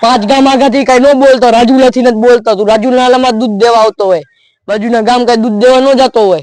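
A man speaks at an extremely high pitch with fairly even intonation. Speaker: vlogger, prank caller. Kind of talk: prank phone call. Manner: disguised voice.

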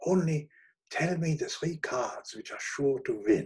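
A man does a put-on character voice with a husky, rough edge. His pitch is fairly high and swings widely, and his pace is fairly slow.

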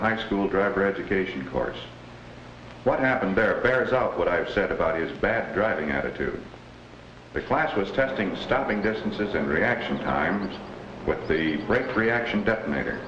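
Against light background noise and audible room echo, a man speaks at a moderate pace with a fairly low pitch. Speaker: traffic police officer. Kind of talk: vintage educational film, testimony in court. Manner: stern, matter-of-fact, formal. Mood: serious, measured. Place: office. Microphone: old recording.

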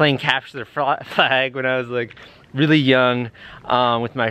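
The man's tone is bright and sharp, and his pace is moderate. The sound is dry, with no echo. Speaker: vlogger. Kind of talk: casual vlog chat. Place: street. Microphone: phone near.

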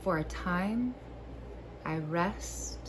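There is noticeable background noise as a woman speaks. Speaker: video creator and poetry reader. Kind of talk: poem reading, calm and warm, framed by casual joking chat. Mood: calm, soft, playful asides. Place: home room. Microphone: phone near.

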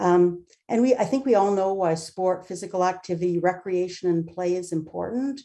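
A dark, mellow tone at a moderate pace with ordinary pitch variation, over a quiet background. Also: woman. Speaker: founder of newcomer sports nonprofit. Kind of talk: public delegation presentation. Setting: video call. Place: home room. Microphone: webcam.

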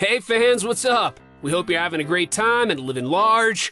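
Faint music plays in the background as a man with an American accent speaks in an energetic, upbeat tone, the sound dry with no echo. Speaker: voice actor. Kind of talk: YouTube video narration. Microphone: studio mic.

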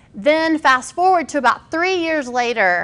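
A woman speaks in a raised, projected voice with a bright, sharp tone. Her intonation is lively. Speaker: speaker, pastor. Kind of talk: personal talk to an audience. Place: hall.

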